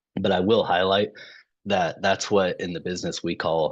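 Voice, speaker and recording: The voice moves at a moderate pace over a quiet background. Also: man. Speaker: insurance benefits consultant. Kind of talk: business presentation. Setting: video call. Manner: halting, many fillers.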